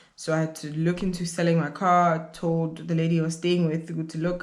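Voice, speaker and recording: Audible room echo surrounds a woman speaking at a moderate pace in a fairly low voice. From South Africa. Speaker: YouTuber, grad student. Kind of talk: casual vlog storytime.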